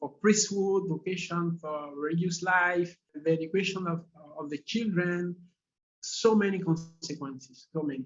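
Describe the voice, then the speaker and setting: A man with a non-native accent speaks at a high pitch. His pace is fairly slow, with ordinary pitch variation. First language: French. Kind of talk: interview. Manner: halting, many hesitations.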